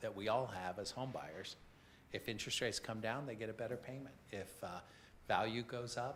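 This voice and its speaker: Audible room echo surrounds a man who talks at a moderate pace and medium pitch with ordinary pitch variation. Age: 70s. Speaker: affordable housing program presenter. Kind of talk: committee meeting presentation. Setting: city council committee meeting.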